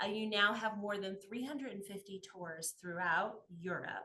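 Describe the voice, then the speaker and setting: Bright and sharp in tone, a woman speaks with lively intonation and an American accent. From United States. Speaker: travel podcast host. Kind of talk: podcast interview.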